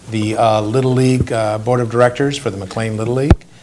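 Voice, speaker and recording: Fairly quick speech comes from a man with an American accent at medium pitch. His intonation is fairly even, with noticeable background noise. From Michigan (Flint). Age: 60s. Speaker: political candidate. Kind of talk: interview.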